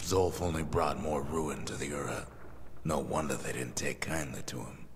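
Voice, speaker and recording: A man performs a put-on character voice. Loud background noise fills the recording. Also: moderate pace. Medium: video game. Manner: drawling, unhurried.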